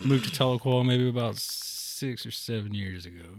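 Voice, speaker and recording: Here is a man with a normal speaking voice at medium pitch. He talks at a moderate pace with ordinary pitch variation. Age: 30s. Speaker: musician. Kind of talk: casual chat.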